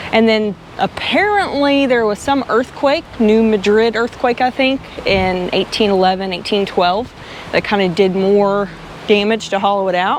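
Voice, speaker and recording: With a Southern US accent, the speaker keeps a moderate pace, very even loudness and ordinary pitch variation. Noticeable background noise runs underneath. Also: woman, fairly high pitch for a woman. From Arkansas. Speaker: travel vlogger. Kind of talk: casual chat. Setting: outdoors.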